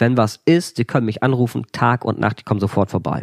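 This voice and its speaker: A man speaks with a fairly low pitch. The recording is very clean, with a silent background and a dry, close sound with no echo. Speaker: author and former animal shelter manager. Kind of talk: casual storytelling interview. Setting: indoors by a wood stove. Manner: lively.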